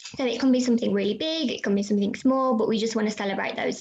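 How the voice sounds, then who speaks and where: A woman speaks at a fairly quick pace in a fairly high pitch. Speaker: youth volunteering charity worker. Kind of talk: webinar presentation and Q&A. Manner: fast.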